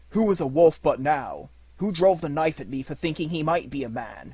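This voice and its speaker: A man uses a put-on character voice with a growl. His pitch is fairly high and his pace moderate. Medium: read story.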